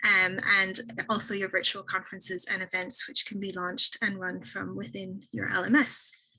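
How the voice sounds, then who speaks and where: She is a woman with an Irish accent, speaking at a medium pitch. Her tone is bright and sharp. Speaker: software company representative. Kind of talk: product presentation on a webinar. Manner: fast.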